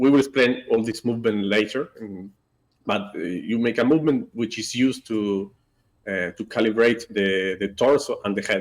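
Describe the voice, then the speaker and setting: Recorded very cleanly against a silent background, a man with a non-native accent speaks at a moderate pace with medium pitch and ordinary pitch variation. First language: not English. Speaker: software developer. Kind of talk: live stream product update. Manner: halting, many fillers.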